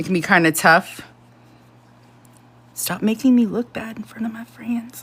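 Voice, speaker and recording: Pausing long and often, a woman speaks at a fairly high pitch while her loudness swings widely. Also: ordinary pitch variation. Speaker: crochet tutorial streamer. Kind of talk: live-stream tutorial. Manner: fast; casual, chatty.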